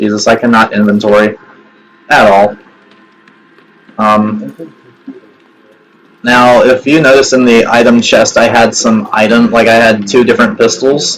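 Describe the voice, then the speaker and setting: Music plays behind a man who speaks at very even loudness with fairly even intonation and long, frequent pauses. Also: medium pitch for a man. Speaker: gaming youtuber. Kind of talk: game walkthrough commentary. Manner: casual, hesitant with fillers.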